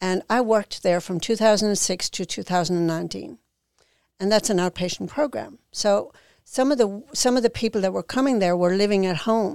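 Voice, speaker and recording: A woman speaks in an Irish accent with ordinary pitch variation. The recording is very clean and dry, close with no echo and a silent background. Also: medium pitch for a woman, moderate pace. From Ireland. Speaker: founder of a sober living home for women. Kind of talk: casual interview.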